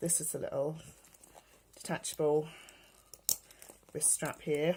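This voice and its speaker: With a British accent, a woman is talking. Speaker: beauty and fashion vlogger. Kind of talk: casual show-and-tell vlog.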